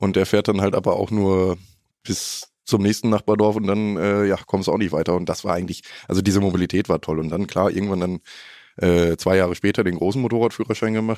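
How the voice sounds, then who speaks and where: Fairly even intonation marks an unremarkable speaking voice that moves at a fairly quick pace. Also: man, fairly low pitch for a man. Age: 20s. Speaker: trainee motorcycle journalist. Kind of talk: casual chat.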